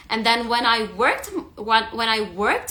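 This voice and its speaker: At a fairly slow pace, a woman speaks with a fairly high pitch. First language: not English. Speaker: stress eating coach. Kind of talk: live stream talk. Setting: Instagram live. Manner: halting, with self-corrections.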